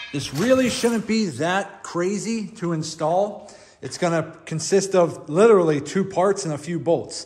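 Pitched high, a man speaks with ordinary pitch variation. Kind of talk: tutorial. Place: garage. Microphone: phone near.

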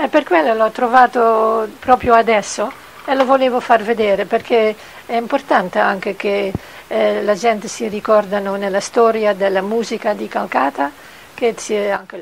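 Against light background noise, a woman with a Dutch accent speaks at a moderate pace, her fairly high pitch showing ordinary variation. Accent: Dutch accent in Italian. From Netherlands. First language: Dutch (speaking Italian). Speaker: puppet maker. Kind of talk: interview; interview answer. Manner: halting. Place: workshop. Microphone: handheld.

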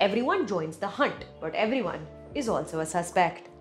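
A woman's voice with very wide pitch swings. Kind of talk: review commentary. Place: home room. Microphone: lapel.

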